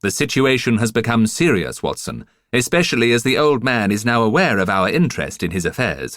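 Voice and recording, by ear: This is reading aloud in a natural voice. The reading is in a natural voice throughout.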